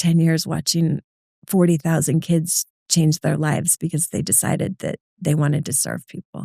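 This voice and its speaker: Dry and close with no echo, a woman speaks at a fairly low pitch in a dark, mellow tone, with vocal fry and fairly even intonation. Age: 50s. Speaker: nonprofit CEO. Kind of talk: interview. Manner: fast.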